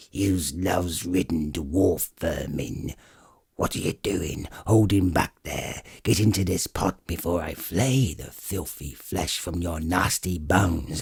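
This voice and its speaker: Using a put-on character voice, a man growls in a guttural, very deep, low pitch at a fairly slow pace. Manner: menacing.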